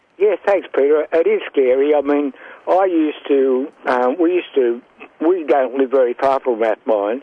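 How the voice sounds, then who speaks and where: At a moderate pace, a man with a fairly high voice speaks with ordinary pitch variation and very even loudness over noticeable background noise. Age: 70s. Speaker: radio caller. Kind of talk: phone-in question. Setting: phone call. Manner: halting.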